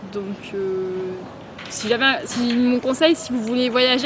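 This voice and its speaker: A woman with a fairly high pitch and ordinary pitch variation talks amid noticeable background noise. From Grenoble, France. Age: 20s. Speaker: travel vlogger. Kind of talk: casual talk to camera. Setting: outdoors. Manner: hesitant, many filler sounds.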